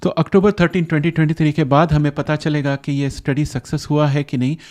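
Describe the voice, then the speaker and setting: With a non-native accent, a man speaks at a moderate pace in a fairly high pitch and fairly even intonation, the sound dry and close with no echo over a quiet background. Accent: non-fluent Hindi, self-described. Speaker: science explainer youtuber. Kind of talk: explainer monologue. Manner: halting, many fillers.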